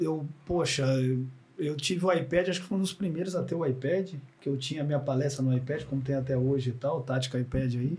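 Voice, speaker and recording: A man with a fairly high voice speaks at a fairly quick pace with ordinary pitch variation over noticeable background noise. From Minas Gerais, Triângulo Mineiro. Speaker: former footballer and coach. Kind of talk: casual chat.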